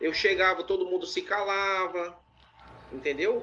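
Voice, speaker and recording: A man with a strong northeastern Brazilian accent speaks over noticeable background noise. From Ceará, Brazil. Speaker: interviewee, former preacher. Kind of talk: interview. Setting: live stream.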